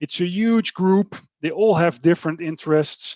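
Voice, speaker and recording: In a normal speaking voice, a man talks at a moderate pace with ordinary pitch variation. The sound is dry and close with no echo, over a quiet background. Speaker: development bank climate specialist on a panel. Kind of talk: webinar panel presentation.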